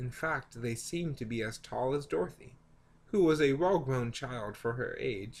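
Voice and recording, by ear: A natural voice reads the text aloud.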